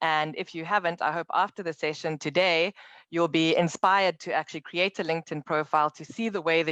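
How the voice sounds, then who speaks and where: Against a quiet background, a woman with a South African accent speaks at a fairly quick pace and a fairly low pitch. Her intonation is fairly even, and the sound is dry and close with no echo. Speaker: tech company account manager. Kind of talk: online presentation.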